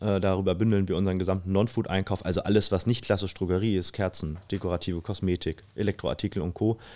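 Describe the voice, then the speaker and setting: A man's very deep, low voice, dark and mellow in tone, flat and monotone, at a very fast pace with hardly any pauses, on a very clean recording with a silent background. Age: 30s. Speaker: family business executive. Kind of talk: interview. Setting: conference venue.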